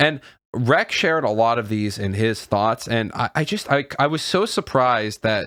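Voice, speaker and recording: Recorded with a dry, close sound and no echo, a man of medium pitch talks at a moderate pace with lively intonation. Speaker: YouTuber. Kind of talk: casual talk to camera. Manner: halting, stumbling over words.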